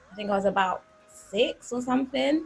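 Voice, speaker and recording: A woman talks in a London accent with music playing in the background. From North London. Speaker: gospel singer. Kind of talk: interview.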